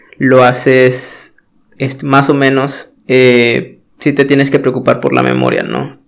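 A man speaks very slowly with a Mexican accent at a medium pitch. His intonation is monotone and flat. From Mexico. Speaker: podcast host, web developer. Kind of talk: solo talk monologue. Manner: hesitant, many filler words.

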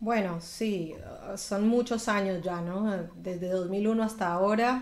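In a room with audible echo, a woman speaks at medium pitch and a very slow pace, with fairly even intonation. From Colombia (Bogotá, Medellín). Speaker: singer. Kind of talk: interview.

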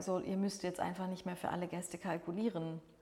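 The speaker is a woman. Her voice rests at a medium pitch. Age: 40s. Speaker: catering sales manager. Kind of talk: podcast interview.

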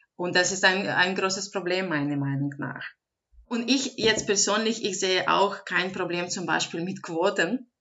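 A woman with a non-native accent. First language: not German (speaking German). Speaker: advocacy organisation director. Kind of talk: interview.

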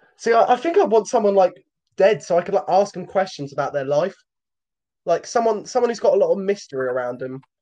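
A man's high voice with a British accent, dark and mellow in tone, at a fairly quick pace broken by long, frequent pauses. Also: lively intonation. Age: young. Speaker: podcast co-host. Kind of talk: casual chat. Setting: home recording.

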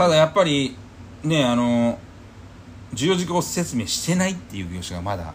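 His voice is medium-pitched and somewhat breathy, and this man moves at a moderate pace through very wide pitch swings with long, frequent pauses. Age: 30s. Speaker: real estate podcast co-host. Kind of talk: casual chat.

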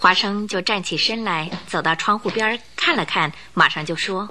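Medium pitch from a woman, bright and sharp in tone, with ordinary pitch variation at a moderate pace

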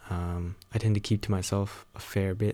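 Quiet and very deep, a man's low voice comes through a very clean recording with a silent background. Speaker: solo podcaster, university student. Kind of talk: casual personal monologue. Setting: home recording at night with rain. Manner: talking quietly; rambling with many fillers and laughs.

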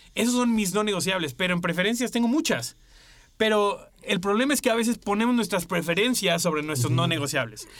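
Lively intonation and very even loudness mark this fairly quick delivery, heard over noticeable background noise. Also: man, high pitch for a man. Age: 30s. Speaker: podcast co-host. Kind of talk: casual chat.

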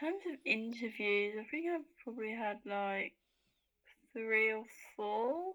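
With a southern English accent, a woman speaks at a fairly high pitch, her tone bright and sharp and her intonation lively. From Hertfordshire, England. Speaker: law student. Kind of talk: casual chat.

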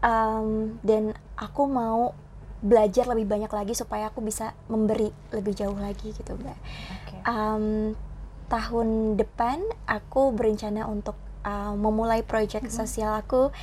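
A woman speaks fairly slowly in a flat monotone. Her tone is dark and mellow and somewhat breathy, with big swings in loudness. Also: fairly high pitch for a woman. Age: young. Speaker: Indonesian language teacher. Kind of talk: interview.

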